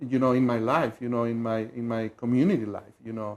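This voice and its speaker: With a Mexican accent, a man talks at a fairly quick pace in a dark, mellow tone. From Mexico City, Mexico. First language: Spanish. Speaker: community leadership volunteer. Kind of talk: TV interview. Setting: TV studio.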